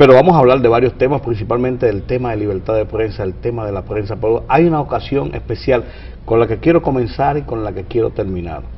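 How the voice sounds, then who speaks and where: A very fast-talking man of medium pitch, with lively intonation and noticeable background noise. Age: 60s. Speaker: TV interview host, journalist. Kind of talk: interview.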